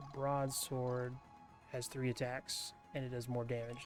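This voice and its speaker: Over music in the background, a man with a medium-pitched voice speaks fairly slowly in a monotone, flat delivery. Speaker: ASMR gaming YouTuber. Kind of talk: soft-spoken gaming commentary. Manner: soft-spoken, relaxed.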